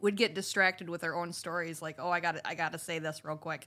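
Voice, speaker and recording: An unremarkable speaking voice with fairly even intonation comes through on a very clean recording with a silent background. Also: woman. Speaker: co-host, sharing her story. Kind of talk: casual conversation.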